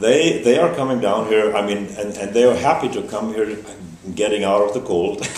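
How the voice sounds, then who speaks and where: The speaker has a German accent, a moderate pace and ordinary pitch variation. Noticeable background noise and audible room echo are present. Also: man, fairly low pitch for a man. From Germany. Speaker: festival organizer. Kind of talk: interview. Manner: halting, many fillers.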